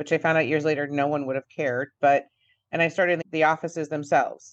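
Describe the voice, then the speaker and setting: Over a quiet background, a woman with an American accent speaks at a very deep, low pitch. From Buffalo area, western New York. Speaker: dental insurance coach. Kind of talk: interview. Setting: radio studio.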